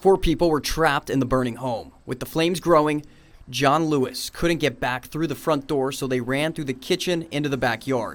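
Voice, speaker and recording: This man has an unremarkable speaking voice, fairly high in pitch, and keeps a moderate pace. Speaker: TV news anchor and reporter. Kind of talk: local TV news reporting.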